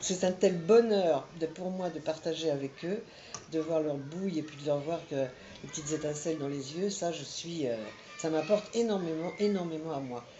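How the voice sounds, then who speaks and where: Against noticeable background noise, a woman with a very deep, low pitch talks at a moderate pace with ordinary pitch variation. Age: 60s. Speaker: volunteer reader for children. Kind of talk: interview testimony.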